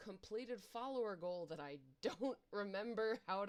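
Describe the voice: Plain reading aloud is heard here, with ordinary pitch variation.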